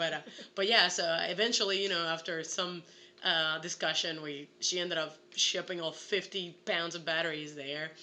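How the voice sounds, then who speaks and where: In an animated tone, a woman with a Puerto Rican accent speaks at a moderate pace. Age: 20s. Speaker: actress. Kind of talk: casual chat.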